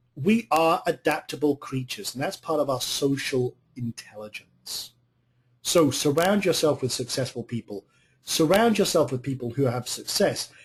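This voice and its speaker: A man with a fairly high voice speaks at a moderate pace, somewhat breathy, with lively intonation. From Scotland, remote area. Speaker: online business coach. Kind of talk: live webinar talk with audience chat. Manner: animated, energetic.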